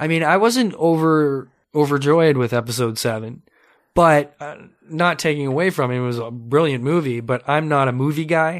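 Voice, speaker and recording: A man with a Canadian accent speaks in a normal speaking voice, fairly high in pitch with ordinary pitch variation. His pace is moderate, and the recording is very clean with a silent background. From Ontario, Canada (Mississauga). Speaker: podcast host. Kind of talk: casual interview chat. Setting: studio.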